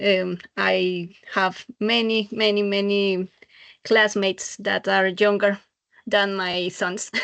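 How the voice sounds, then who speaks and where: A woman talks at a very slow pace. Her medium pitch carries fairly even intonation. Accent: Spanish. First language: Spanish. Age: 40s. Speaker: adult university student. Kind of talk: self-introduction in class. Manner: halting.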